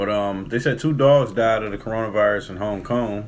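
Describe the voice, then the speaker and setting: A man's fairly low pitch with ordinary variation. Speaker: podcast co-host. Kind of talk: casual chat. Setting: studio. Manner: fast.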